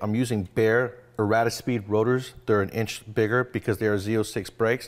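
A man's intonation stays fairly even while he speaks fairly quickly. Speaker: mechanic show host. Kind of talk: tutorial. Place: garage.

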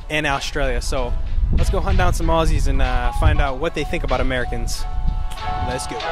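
A man talks at a fairly quick pace. Clear music can be heard in the background. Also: dry sound with no echo. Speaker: street interviewer. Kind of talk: casual talk to camera. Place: street. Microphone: handheld.

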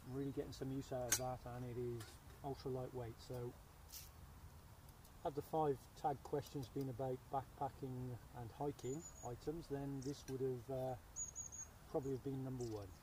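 With audible room echo, a man talks in a dark, mellow tone with little pitch movement. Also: medium pitch for a man, moderate pace.

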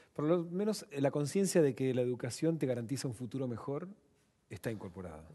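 Over a quiet background, a man with a Rioplatense accent talks at a fairly quick pace, his medium-pitched voice dark and mellow in tone and his pitch swinging very widely. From Buenos Aires, Argentina. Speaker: TV show host. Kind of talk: broadcast interview and moderated discussion. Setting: studio. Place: studio. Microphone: headset.

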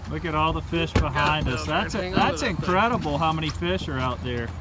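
Over clear background noise, a man talks at a moderate pace with a fairly high pitch and ordinary pitch variation.

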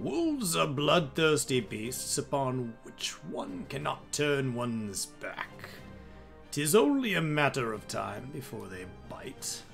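Over clear background music, a man performs a put-on character voice at a fairly slow pace. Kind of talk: dramatic game character voice-acting. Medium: game stream. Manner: gruff, sardonic, then solemn.

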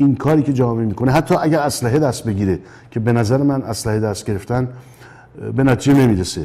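A man's very fast delivery, dark and mellow in tone, with ordinary pitch variation. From Iran, Tehran. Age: 70s. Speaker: composer; interview guest. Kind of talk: interview. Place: studio.

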